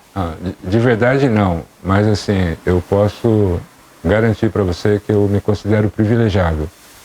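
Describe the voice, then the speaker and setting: A man speaks at a fairly slow pace in a dark, mellow tone, his intonation fairly even. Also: fairly low pitch for a man. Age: 60s. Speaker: schoolteacher. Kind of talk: interview.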